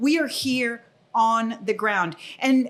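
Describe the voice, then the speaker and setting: Her pitch varying in an ordinary way, a woman speaks with a Spanish accent. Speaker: property owner and operator. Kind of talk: podcast interview. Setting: on location.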